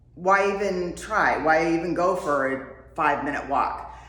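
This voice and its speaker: Room echo and clear background noise around a woman speaking. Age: 50s. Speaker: wellness vlogger. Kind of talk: casual talk to camera. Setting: home workout space. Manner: conversational, with many fillers.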